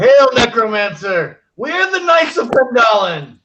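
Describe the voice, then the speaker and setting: Using a put-on character voice, a man speaks at an extremely high pitch with very wide pitch swings. His pace is fairly slow. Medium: actual play. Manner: bold, hearty.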